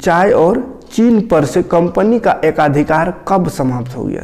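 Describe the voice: A man speaks slowly in a high voice with a slightly mellow tone, some vocal fry, and ordinary pitch variation.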